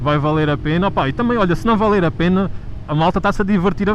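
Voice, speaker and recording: With an Alentejo accent, a man speaks at a fairly quick pace over noticeable background noise. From Alentejo, Portugal. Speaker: motovlogger. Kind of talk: casual chat. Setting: riding motorcycle, helmet intercom.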